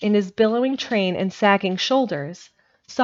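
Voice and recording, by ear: Against a quiet background, someone is reading aloud in a natural voice with ordinary pitch variation.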